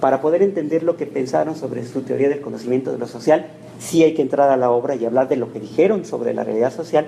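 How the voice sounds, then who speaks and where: Against noticeable background noise, a man talks very fast. His medium pitch shows ordinary variation. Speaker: university lecturer. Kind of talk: lecture.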